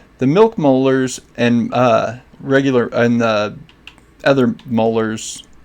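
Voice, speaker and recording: Long, frequent pauses break up very slow speech as noticeable background noise continues. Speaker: gaming YouTuber and streamer. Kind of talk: gameplay tutorial.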